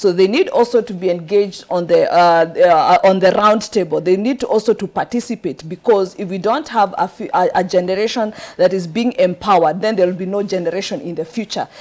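Speaking with a Kenyan accent, a woman keeps a medium pitch with ordinary variation. Her pace is fairly quick. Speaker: political candidate. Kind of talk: studio interview. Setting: studio. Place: studio.

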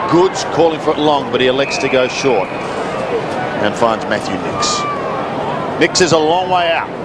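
Loud background noise behind a man at a moderate pace, pausing long and often. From Australia. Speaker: play-by-play commentator. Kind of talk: live sports commentary of an Australian rules football match.

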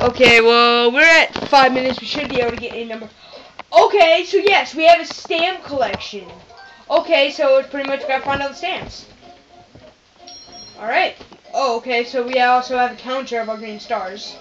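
A woman speaks at a high pitch with long, frequent pauses. Her loudness swings widely, and music plays in the background. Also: moderate pace. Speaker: gamer. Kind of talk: let's play commentary. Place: home room. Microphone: phone near.

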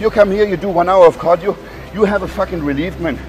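A man speaks at a high pitch. Clear music plays behind him. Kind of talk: motivational rant. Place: gym.

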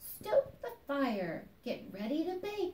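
A woman's squeaky, put-on character voice, extremely high in pitch, with very wide pitch swings and a very slow pace. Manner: squeaking, cheerful.

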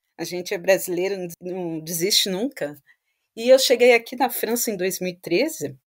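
A woman's plain, everyday voice at a fairly slow pace with ordinary pitch variation, on a very clean recording with a silent background. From Brazil, Vitória, Espírito Santo. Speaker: data science consultant. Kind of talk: interview.

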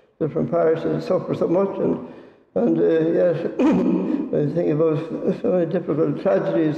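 Audible room echo surrounds a man as he talks. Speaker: priest. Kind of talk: sermon. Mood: somber, hesitant. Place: church. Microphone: podium.

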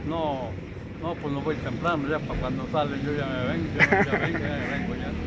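Loud background noise runs under this recording. A man talks with ordinary pitch variation. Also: moderate pace. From San Luis Potosí, Mexico. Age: 70s. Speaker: broom maker and street seller. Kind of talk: interview answer. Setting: outdoors. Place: street. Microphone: phone near.

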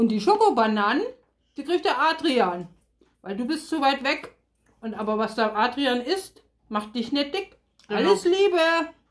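Against a quiet background, the speech moves at a fairly slow pace with long, frequent pauses. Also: woman, high pitch for a woman. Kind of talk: casual birthday greeting to camera. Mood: cheerful, joking. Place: kitchen. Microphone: phone near.

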